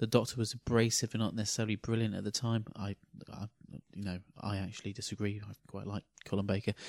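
A man's fairly low pitch, monotone and flat, at a very fast pace in a dry, close sound with no echo. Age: 40s. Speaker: podcast co-host. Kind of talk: casual chat.

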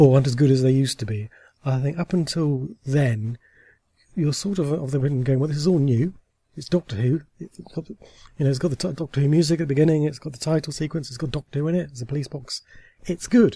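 A man speaks at a very fast pace and a fairly high pitch, with ordinary pitch variation. His tone is dark, mellow and somewhat breathy, with a dry, close sound and no echo. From Somerset, England (Taunton). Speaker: TV and audio drama writer. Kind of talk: casual interview. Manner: hesitant, many fillers.

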